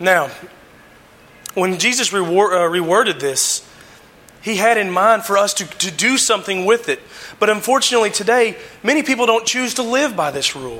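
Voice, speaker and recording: Over noticeable background noise, a raised, projected voice moves at a moderate pace with lively intonation. Long, frequent pauses break up the speech. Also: man, high pitch for a man. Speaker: lay preacher. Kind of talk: sermon. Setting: church. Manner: halting, frequent fillers.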